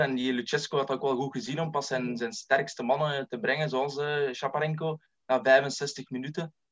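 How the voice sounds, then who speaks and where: A man with an unremarkable speaking voice talks at a moderate pace, with a fairly high pitch and fairly even intonation. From Belgium, East Flanders (Lebbeke). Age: 20s. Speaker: football scout and author. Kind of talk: casual chat.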